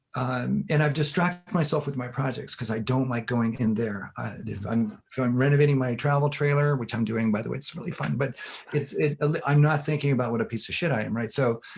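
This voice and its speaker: Noticeable background noise behind a man with medium pitch, ordinary pitch variation and a fairly quick pace. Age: 60s. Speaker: infographics designer and former professor. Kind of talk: casual interview chat. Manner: halting, repetitive.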